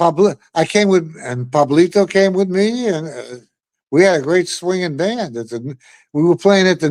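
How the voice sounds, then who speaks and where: In a very clean recording with a silent background, a man with an American accent and a high pitch speaks at a moderate pace, his intonation lively and his loudness swinging widely. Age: 80s+. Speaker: retired Latin bandleader and radio host. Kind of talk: interview. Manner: casual, conversational.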